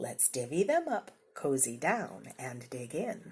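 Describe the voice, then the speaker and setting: A woman uses a put-on character voice, very deep and low in pitch, at a fairly slow pace. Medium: read story. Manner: cheerful.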